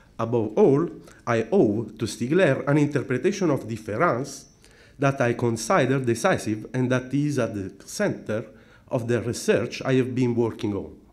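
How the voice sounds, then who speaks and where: A man talks at a medium pitch and a moderate pace, with lively intonation and a non-native accent. Audible room echo surrounds his voice. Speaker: philosophy scholar. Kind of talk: conference talk. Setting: conference. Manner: formal.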